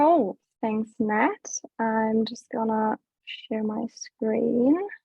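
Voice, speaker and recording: A woman speaks at a very slow pace with a somewhat breathy voice. Her pitch sits fairly high, with ordinary variation. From Germany. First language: German. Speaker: business development staff at food waste app. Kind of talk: webinar presentation.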